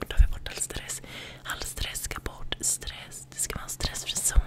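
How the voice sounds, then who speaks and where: Loud background noise surrounds a woman who talks at a moderate pace. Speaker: ASMR creator. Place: home room. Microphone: studio mic.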